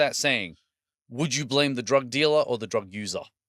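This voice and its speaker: With an Australian accent and a bright, sharp tone, a man speaks at a moderate pace and a fairly high pitch in a very clean recording with a silent background. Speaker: podcast host. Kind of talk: casual chat.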